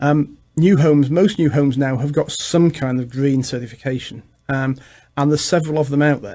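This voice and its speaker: This man has an English accent and a dark, mellow tone. He talks fairly quickly at a fairly high pitch, with fairly even intonation. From England. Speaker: realtor. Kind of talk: radio interview. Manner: halting.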